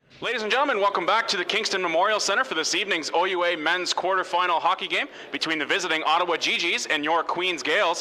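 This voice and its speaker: A man's very fast, high-pitched speech with hardly any pauses and ordinary pitch variation, over noticeable background noise. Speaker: sports broadcaster. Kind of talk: sports interview, host asking questions.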